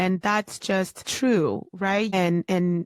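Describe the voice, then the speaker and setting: A woman at medium pitch and a very slow pace, with a dry, close sound and no echo. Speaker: podcast host. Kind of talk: solo podcast talk on personal development. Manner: conversational, earnest, motivational.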